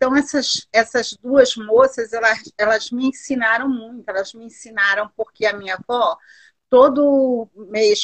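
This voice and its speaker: With an unremarkable speaking voice, a woman talks at a moderate pace, her fairly high pitch showing ordinary variation. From Duque de Caxias, Rio de Janeiro, Brazil. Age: 60s. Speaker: artisan and entrepreneur. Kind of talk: interview.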